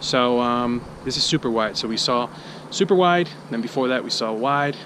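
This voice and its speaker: Medium-pitched male voice with ordinary pitch variation and noticeable background noise. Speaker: vlogger testing camera gear. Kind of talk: casual vlog tutorial. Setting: outdoors, walking.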